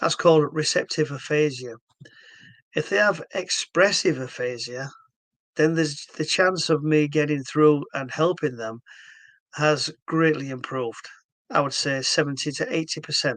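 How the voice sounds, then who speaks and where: Against a quiet background, a man speaks with a Yorkshire accent. His pitch is fairly high and his pace moderate. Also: ordinary pitch variation. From northern England, Hull, Yorkshire. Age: 60s. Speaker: stroke therapy founder. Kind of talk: explanatory video talk. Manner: halting.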